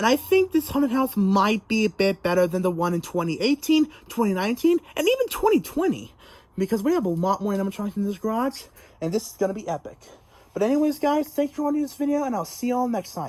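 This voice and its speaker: A woman talks at a very fast pace. Her voice is somewhat breathy, with very wide pitch swings. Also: fairly high pitch for a woman. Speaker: haunted house video creator. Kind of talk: casual vlog walkthrough. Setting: garage. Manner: halting, repetitive.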